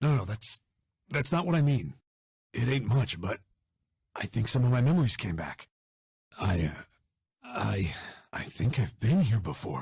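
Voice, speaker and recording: Putting on a character voice, a man speaks raspy at a moderate pace in a medium pitch, with very wide pitch swings and long, frequent pauses. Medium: actual play. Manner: halting, gruff, hard-boiled.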